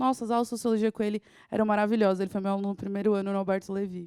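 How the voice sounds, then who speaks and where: At a very fast pace, a woman talks in a dark, mellow tone. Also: very clean recording, silent background. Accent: southeastern Brazilian. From Southeast Brazil. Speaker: teacher. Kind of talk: lecture. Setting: studio.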